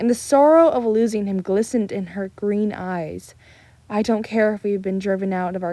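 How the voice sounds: The delivery is a natural reading voice. It sounds like text being read aloud.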